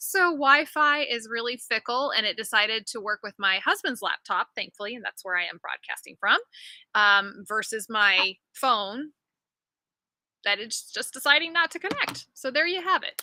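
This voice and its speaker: An animated woman speaks at a fairly high pitch in a bright, sharp tone, with very wide pitch swings and big swings in loudness. The sound is dry and close with no echo, a very clean recording against a silent background. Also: moderate pace. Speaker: physical therapist and livestream host. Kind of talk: casual livestream chat. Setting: live video stream from family home. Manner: projecting loudly. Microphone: no microphone, laptop audio, fickle Wi-Fi.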